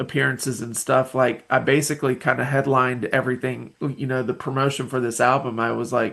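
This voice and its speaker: A man with a Southern US accent and vocal fry talks with monotone, flat intonation and hardly any pauses. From US South, Nashville, Tennessee. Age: 40s. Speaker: independent musician. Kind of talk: podcast interview. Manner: halting, many fillers.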